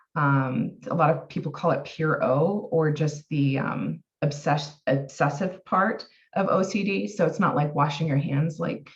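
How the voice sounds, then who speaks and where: A woman with an American accent speaks at a fairly slow pace in a very deep, low pitch. Her voice is somewhat breathy, with lively intonation. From US Pacific Northwest, Oregon. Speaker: health and wellness coach, therapeutic harp practitioner. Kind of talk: personal testimony in podcast interview. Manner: halting, many fillers.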